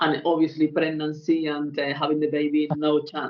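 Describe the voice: Here a woman talks at a moderate pace in a low pitch. There is little pitch movement.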